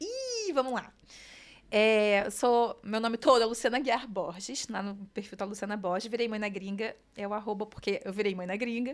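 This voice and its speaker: Moving at a moderate pace, a woman keeps her intonation fairly even. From Brazil, Rio de Janeiro state (Nova Friburgo, then Rio). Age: 30s. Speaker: designer and digital entrepreneur, mother. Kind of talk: podcast interview, casual chat.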